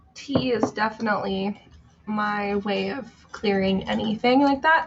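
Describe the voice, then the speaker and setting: Speech comes at a fairly slow pace with ordinary pitch variation. Noticeable background noise is present. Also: woman, fairly high pitch for a woman. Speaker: tarot reader live streamer. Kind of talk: casual live stream chat. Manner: chatty.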